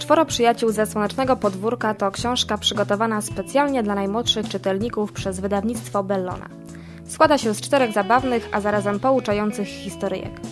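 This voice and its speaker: Over clear music in the background, a woman at a medium pitch talks at a fairly quick pace with lively intonation. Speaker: radio announcer. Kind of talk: radio book review segment. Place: studio. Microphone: studio mic.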